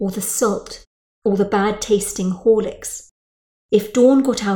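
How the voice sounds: Someone reads in a natural reading voice. Nothing but quiet fills the background.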